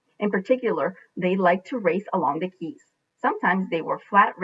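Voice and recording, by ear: In a quiet setting, a passage is read aloud in a natural voice.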